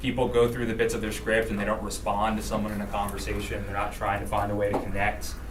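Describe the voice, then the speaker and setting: A man talks at a very fast pace. There is noticeable background noise and audible room echo. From Rhode Island. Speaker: political campaign trainer. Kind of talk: training workshop.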